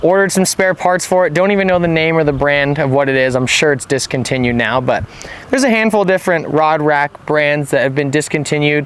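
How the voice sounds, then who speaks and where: A man talks at a very fast pace with very even loudness. Noticeable background noise can be heard. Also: fairly high pitch for a man, ordinary pitch variation. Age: 20s. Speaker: fishing guide. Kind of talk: product review vlog. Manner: casual, conversational.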